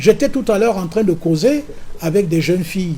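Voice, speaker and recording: A man at a moderate pace. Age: 70s. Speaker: opposition politician and farmer. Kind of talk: political interview.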